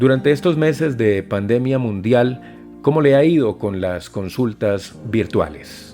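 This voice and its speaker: A man speaks at a fairly slow pace with lively intonation and hardly any pauses. Music plays in the background. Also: medium pitch for a man. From Colombia. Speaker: voice actor. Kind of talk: interview questions.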